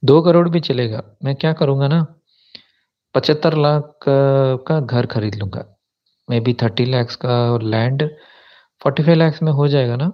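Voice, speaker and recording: This man's voice sits fairly high, with ordinary pitch variation. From South India. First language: a South Indian language (speaking Hindi). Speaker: YouTuber, spiritual commentator. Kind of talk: live stream chat. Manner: casual, mixes English words into Hindi.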